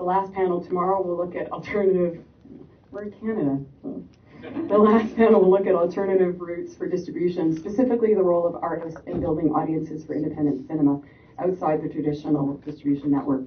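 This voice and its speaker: Background noise is light as a woman speaks at a very fast pace, her pitch fairly low with ordinary variation. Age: 30s. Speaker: panel moderator. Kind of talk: panel introduction. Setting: stage with audience. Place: hall.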